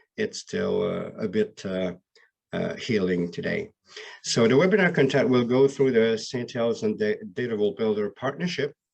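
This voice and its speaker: A man with a Quebec accent speaks at a medium pitch with very wide pitch swings. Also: moderate pace. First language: French. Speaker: BI solution architect. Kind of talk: webinar presentation. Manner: halting.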